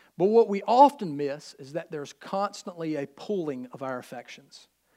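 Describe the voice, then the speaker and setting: In a very clean recording with a silent background, a man with a Southern US accent speaks in a high voice with lively intonation. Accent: US South. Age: 30s. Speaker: pastor. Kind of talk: sermon.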